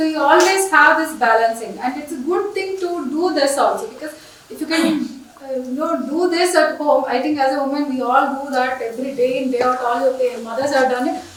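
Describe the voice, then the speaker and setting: A woman with a high pitch talks at a fairly quick pace. Noticeable background noise and audible room echo fill the recording. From India, Andhra Pradesh. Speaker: engineering professor. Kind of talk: conference lecture. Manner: fast.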